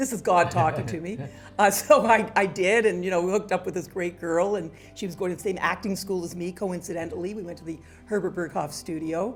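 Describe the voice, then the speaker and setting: A woman speaks at a fairly quick pace with medium pitch and big swings in loudness. Music plays in the background. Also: ordinary pitch variation. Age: 70s. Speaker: fashion journalist. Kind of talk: interview answer.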